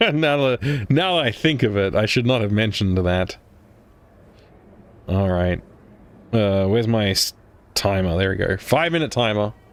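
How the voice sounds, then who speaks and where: A man with an Australian accent talks in a fairly low pitch at a moderate pace, with long, frequent pauses. His intonation is lively and his loudness very even. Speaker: gaming streamer. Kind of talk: let's play commentary.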